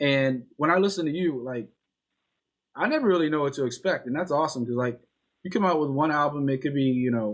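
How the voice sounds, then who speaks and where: A man with an ordinary speaking voice and an American accent, fairly high in pitch, with ordinary pitch variation, at a fairly quick pace. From Northern Virginia, Alexandria.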